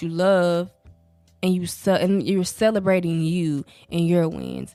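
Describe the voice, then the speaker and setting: The speaker is a woman. She has a Southern US accent. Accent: southern US, country. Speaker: podcast host. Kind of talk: casual podcast monologue. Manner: casual, conversational.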